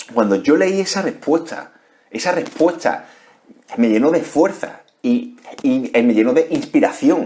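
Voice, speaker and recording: A man's fairly high-pitched, dark, mellow voice with vocal fry and very wide pitch swings. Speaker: personal development youtuber. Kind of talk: motivational talk to camera. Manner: halting, many repetitions and fillers.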